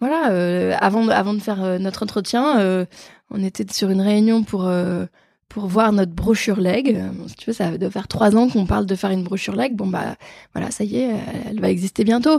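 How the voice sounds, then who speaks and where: A woman's medium-pitched voice with a dark, mellow tone, ordinary pitch variation and a moderate pace, on a very clean recording with a silent background. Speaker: fundraising manager at an engineering school. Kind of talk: casual interview. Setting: start-up office space in Paris. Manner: energetic.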